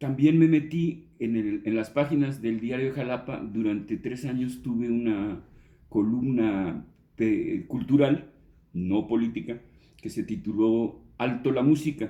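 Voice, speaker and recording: Speaking very slowly, a man has a medium-pitched, dark and mellow voice with ordinary pitch variation. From Mexico City. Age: 60s. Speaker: journalist and songwriter. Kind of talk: interview. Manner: halting, with many fillers.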